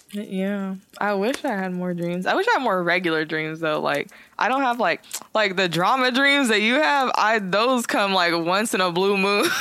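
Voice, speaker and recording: A woman's medium-pitched voice with an American accent, lively intonation, a moderate pace and a bright, sharp tone. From San Jose, California. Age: 20s. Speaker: podcast host. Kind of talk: casual chat.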